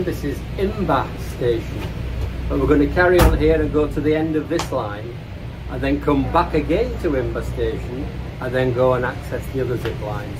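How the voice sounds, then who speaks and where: A man talks at a moderate pace while noticeable background noise is present. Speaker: travel vlogger. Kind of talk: casual vlog chat. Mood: upbeat and enthusiastic. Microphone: phone near.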